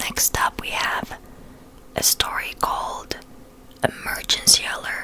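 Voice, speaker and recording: A woman whispers very slowly, with noticeable background noise around her. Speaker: ASMR creator. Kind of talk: casual intro and transition to camera. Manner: whispered, soft, relaxing.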